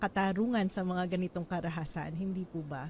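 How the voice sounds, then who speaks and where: Her voice has a somewhat breathy quality. The woman speaks fairly quickly. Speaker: economist and interviewer. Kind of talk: interview. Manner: polite, formal (uses po).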